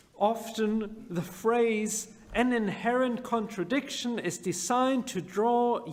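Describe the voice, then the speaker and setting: A man with a high pitch speaks at a very slow pace. Audible room echo is present in the recording. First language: not English. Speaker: rabbi. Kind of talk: sermon.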